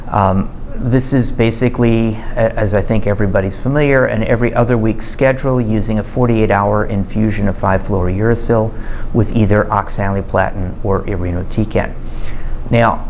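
With light background noise behind him, a man speaks in a fairly low pitch with fairly even intonation. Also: moderate pace. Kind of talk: interview answer.

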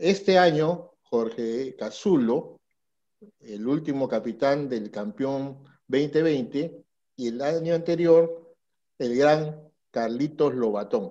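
A man speaks very slowly in a dark, mellow tone, his pitch fairly high. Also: ordinary pitch variation, quiet background. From Peru. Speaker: sports journalist; show host interviewer. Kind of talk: interview. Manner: animated. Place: home room. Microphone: headset.

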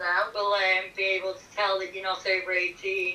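A woman's medium-pitched voice with a bright, sharp tone, monotone, flat intonation and a moderate pace, in audible room echo

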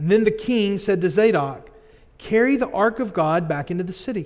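The setting behind him is quiet. The man's pitch varies in an ordinary way. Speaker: pastor. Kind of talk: scripture reading in a sermon. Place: church. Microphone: podium.

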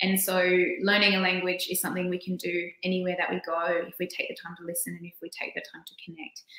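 A woman with an Australian accent rattles along at a very fast pace and a medium pitch, her intonation monotone and flat and her loudness swinging widely, with audible room echo and a quiet background. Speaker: poet and children's author; poet. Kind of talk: presentation. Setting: video call. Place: home room.

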